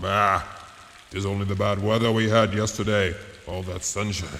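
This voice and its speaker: A man uses a put-on character voice, fairly low in pitch, with monotone, flat intonation. He keeps a moderate pace over clear background noise. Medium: audio drama. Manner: gruff, growling.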